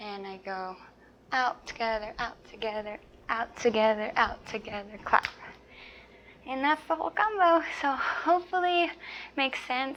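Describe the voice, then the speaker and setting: A soft-spoken woman at a high pitch with very wide pitch swings, big swings in loudness, a moderate pace, and long, frequent pauses. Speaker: dance teacher. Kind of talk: tutorial. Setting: small apartment at home.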